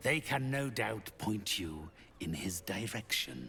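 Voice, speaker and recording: A man's put-on character voice, fairly low in pitch and fairly slow, over clear background noise. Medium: video game. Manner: cold, measured, imperious.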